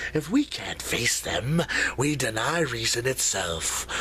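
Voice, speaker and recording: Clear background noise sits behind a put-on character voice that goes along at a fairly slow pace. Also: man. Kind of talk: dramatic monologue performance. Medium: role play.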